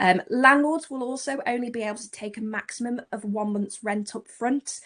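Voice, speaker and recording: In a plain, everyday voice, a woman speaks at a moderate pace against a quiet background. Her pitch is fairly high with ordinary variation, while her loudness swings a lot. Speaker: letting agent. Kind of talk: presentation.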